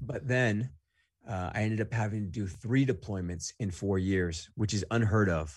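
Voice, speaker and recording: Against a quiet background, a man with a fairly low, somewhat breathy voice speaks in an American accent. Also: ordinary pitch variation, moderate pace. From Southern California (greater Los Angeles), Mexican family. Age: 30s. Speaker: Marine Corps veteran and entrepreneur. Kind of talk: casual interview conversation. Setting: remote call.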